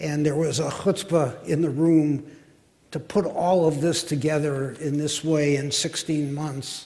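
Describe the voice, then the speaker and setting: A man with a fairly high pitch, somewhat breathy, at a fairly slow pace with fairly even intonation. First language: Yiddish. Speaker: panelist. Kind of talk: panel discussion.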